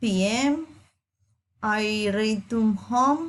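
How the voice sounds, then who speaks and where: Somewhat breathy, a woman speaks in a fairly high pitch. She has a Colombian accent and ordinary pitch variation. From Colombia, Medellín (Antioquia). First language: Spanish. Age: 30s. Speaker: student. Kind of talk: reading aloud.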